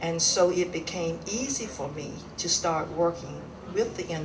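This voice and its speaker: A woman's fairly low voice at a moderate pace, with noticeable background noise and audible room echo. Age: 70s. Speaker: civil rights activist, award recipient. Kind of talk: acceptance speech.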